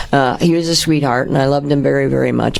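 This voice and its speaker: A woman with an Upper Midwest accent and a very deep, low pitch, with audible room echo and noticeable background noise. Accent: Upper Midwest American. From US Midwest, Kenosha, Wisconsin. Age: 70s. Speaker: musician and former business owner. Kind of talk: interview, personal story. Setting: studio.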